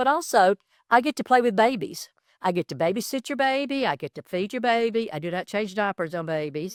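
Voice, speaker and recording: In a very clean recording with a silent background and a dry, close sound with no echo, a woman with an American accent talks at a fairly quick pace and fairly high pitch with very wide pitch swings. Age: 70s. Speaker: small business owner. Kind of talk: interview. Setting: studio. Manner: halting.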